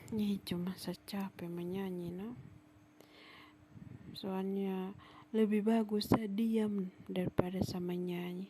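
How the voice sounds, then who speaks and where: With long, frequent pauses, a woman speaks very slowly in a dark, mellow, somewhat breathy voice, her intonation monotone and flat while her loudness swings widely. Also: medium pitch for a woman. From Sumba, East Nusa Tenggara, Indonesia. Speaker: vlogger. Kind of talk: travel vlog narration.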